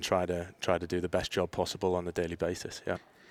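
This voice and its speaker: Speaking with a Teesside accent, a man has a very deep, low pitch and a fairly quick pace. The sound is dry and close with no echo, in a very clean recording with a silent background. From northeast England, Middlesbrough. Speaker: youth soccer academy director. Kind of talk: interview.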